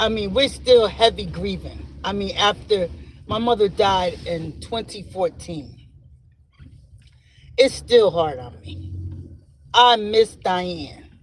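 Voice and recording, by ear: A man speaks slowly at a high pitch, with ordinary pitch variation. He leaves long, frequent pauses.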